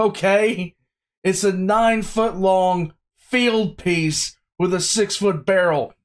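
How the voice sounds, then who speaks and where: A man talks in a high voice. The background is quiet. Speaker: reaction video host. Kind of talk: casual reaction commentary. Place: home room.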